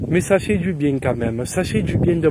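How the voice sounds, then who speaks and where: Noticeable background noise surrounds a man speaking with a fairly high voice. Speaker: motorcycle vlogger. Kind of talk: casual product review. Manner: improvised, chatty.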